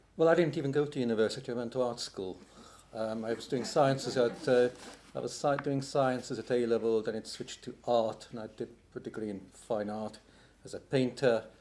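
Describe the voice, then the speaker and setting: A man with a British accent speaks at a fairly quick pace in a medium pitch, his intonation fairly even. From England (Hungarian-born, moved to UK at 8). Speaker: poet and literary translator. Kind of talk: panel talk at academic roundtable.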